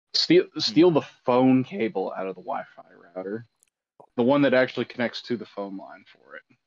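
This man has a normal speaking voice with a medium pitch and lively intonation. He keeps a moderate pace, with big swings in loudness. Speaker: podcast co-host. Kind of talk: casual banter.

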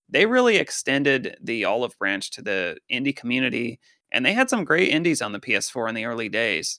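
With an American accent and a plain, everyday voice, a man talks at a fairly quick pace with lively intonation, recorded very cleanly with a silent background and a dry, close sound with no echo. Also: medium pitch for a man. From Colorado. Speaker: gaming podcast co-host. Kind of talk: casual chat. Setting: headset.

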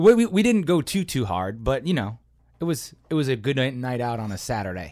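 With an American accent, a man talks at a fairly quick pace and a medium pitch, making very wide pitch swings. The recording is very clean, with a silent background. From Chicago. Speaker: improv comedian and rapper. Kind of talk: casual chat.

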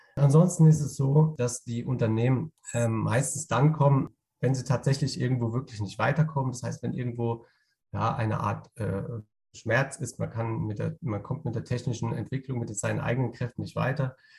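A man's medium-pitched voice with vocal fry, a dark, mellow tone, ordinary pitch variation and a moderate pace. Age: 30s. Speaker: innovation consultant. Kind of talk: interview. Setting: on the road, remote. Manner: halting, many fillers.

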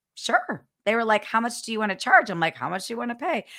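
A woman's fairly high, bright, sharp voice with an American accent at a fairly quick pace, on a very clean recording with a silent background. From Ohio. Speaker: podcast co-host and sales coach. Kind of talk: casual interview.

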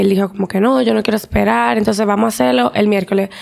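Amid noticeable background noise, a woman talks very fast at a medium pitch with very wide pitch swings. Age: 20s. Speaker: teacher and psychology student, cancer survivor. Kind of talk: testimony.

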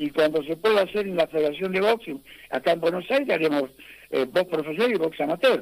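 The man's high pitch and lively intonation come at a fairly quick pace. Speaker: boxing federation president. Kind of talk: radio interview. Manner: halting.

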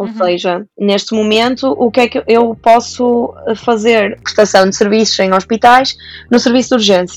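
She has a normal speaking voice, fairly high in pitch for a woman. Her intonation is fairly even and her pace moderate. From Portugal, Santa Maria da Feira. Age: 20s. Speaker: doctor. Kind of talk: casual interview.

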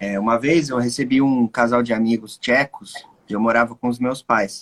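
A man's unremarkable speaking voice, medium in pitch, fairly slow, with ordinary pitch variation and a dry, close sound without echo. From Brazil. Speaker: music production teacher and host. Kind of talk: casual chat.

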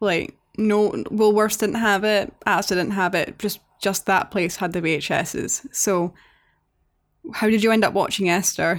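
A woman with a medium pitch speaks at a moderate pace and very even loudness on a very clean recording with a silent background. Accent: Scottish. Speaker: podcast co-host. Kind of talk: casual chat. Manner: animated, sweary.

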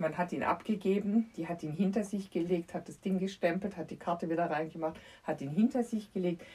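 A woman's fairly low, somewhat breathy voice with lively intonation and a fairly quick pace. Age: 50s. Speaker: children's book author. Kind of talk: casual chat.

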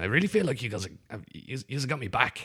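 Very fast speech with a Dublin accent swings very widely in pitch. The tone is bright and sharp, on a very clean recording with a silent background. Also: man. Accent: Dublin Irish. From Dublin, Ireland. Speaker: improv comedian. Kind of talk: casual chat.

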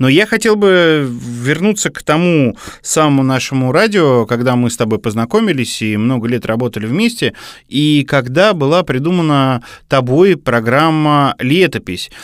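Here is a man with an ordinary speaking voice and a fairly high pitch, talking at a moderate pace. His intonation is lively, and the recording is very clean with a silent background. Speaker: radio program director, co-host. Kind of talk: casual chat.

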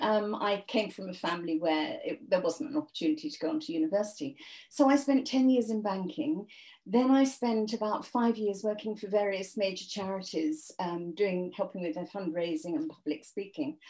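This woman's dark, mellow voice sits at a medium pitch and moves at a moderate pace through very wide pitch swings. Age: 70s. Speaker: author. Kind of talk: interview.

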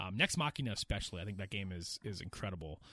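With an American accent, a man speaks with ordinary pitch variation. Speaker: gaming podcast host. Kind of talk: casual chat.

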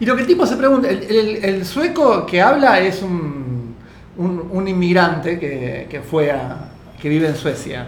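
The speaker has a Rioplatense accent. The pace is fairly slow. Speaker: radio podcast co-host. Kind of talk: casual chat.

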